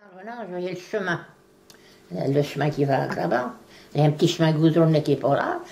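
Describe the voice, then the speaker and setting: A woman with a very deep, low voice talks at a moderate pace with ordinary pitch variation, long, frequent pauses, and big swings in loudness, over noticeable background noise. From Beauce, Loire valley, France. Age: 80s+. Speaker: writer of local letters. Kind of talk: interview answer.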